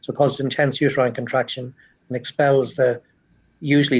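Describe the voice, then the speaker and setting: A man with an Irish accent speaks at a very fast pace in a medium pitch, his intonation monotone and flat. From Ireland. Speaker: cardiologist. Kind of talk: interview. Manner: halting, repeats words.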